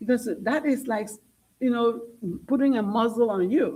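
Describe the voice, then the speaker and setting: A woman with a non-native accent speaks in a high pitch with an animated tone. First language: not English. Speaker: school board trustee. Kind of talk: public meeting debate. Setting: board meeting on a dais.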